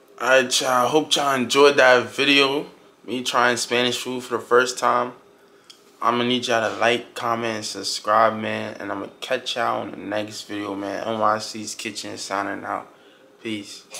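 Light background noise accompanies a man's voice. He keeps a moderate pace and fairly even intonation. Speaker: food vlogger. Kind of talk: casual vlog chat.

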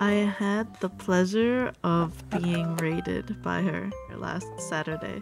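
The voice is soft-spoken. Clear music plays in the background. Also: woman. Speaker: sticker artist and small business owner. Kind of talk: casual talk to camera, packing ASMR. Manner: slow, calming, soft. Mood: grateful, warm. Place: home room.

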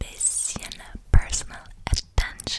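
A very slow whisper from a woman. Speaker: ASMR creator. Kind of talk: soft ASMR chat. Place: home room. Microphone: studio mic.

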